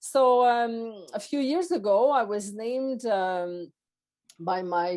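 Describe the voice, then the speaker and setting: A woman with a Quebec accent and a dark, mellow tone, against a quiet background. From Quebec, Montreal. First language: French. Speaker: former public service executive and coach. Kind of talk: podcast interview. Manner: halting, many fillers.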